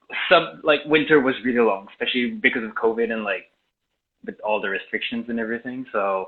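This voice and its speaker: A man speaks with a Quebec accent at a medium pitch and a fairly quick pace. His pitch variation is ordinary. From Quebec, Laurentians. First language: French. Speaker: video and sound editor. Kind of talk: casual chat. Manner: halting, many fillers.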